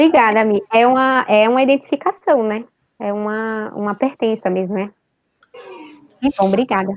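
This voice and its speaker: Long, frequent pauses break up a woman's speech at a moderate pace. Her pitch is fairly high, with ordinary variation. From Northeast Brazil, Recife. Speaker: language and literature teacher. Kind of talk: online literary discussion.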